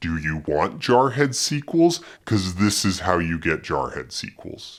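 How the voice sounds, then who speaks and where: At a fairly slow pace, a man performs a put-on character voice with a very deep, low pitch. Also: very clean recording, silent background. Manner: mock movie-trailer drama.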